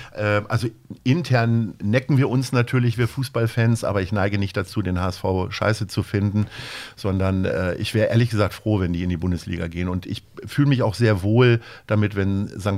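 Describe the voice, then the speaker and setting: Ordinary pitch variation marks speech that runs at a fairly quick pace. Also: man. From Lower Saxony, near Hanover. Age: 50s. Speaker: agency owner and charity founder. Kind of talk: interview. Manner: hesitant with frequent fillers.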